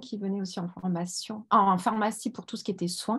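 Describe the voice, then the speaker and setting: A woman speaks in a somewhat breathy voice. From Sète, southern France. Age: 40s. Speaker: beauty product seller, former pharmacy assistant. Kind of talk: online presentation. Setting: video call.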